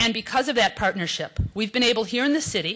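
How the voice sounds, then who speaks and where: In a quiet background, a woman's voice shows ordinary pitch variation. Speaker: city official. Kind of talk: conference speech. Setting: stage with audience. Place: hall. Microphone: podium.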